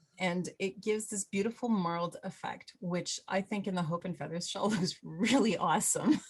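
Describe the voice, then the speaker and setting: A woman's somewhat breathy, medium-pitched voice at a moderate pace, ordinary pitch variation and hardly any pauses. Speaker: knitting instructor. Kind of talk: tutorial. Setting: video call.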